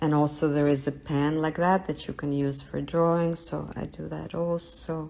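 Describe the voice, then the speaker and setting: Hardly pausing, the speaker keeps to a moderate pace. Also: woman. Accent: Russian. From Russia. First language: Russian. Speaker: artist. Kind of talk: live studio tour. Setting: livestream from home studio.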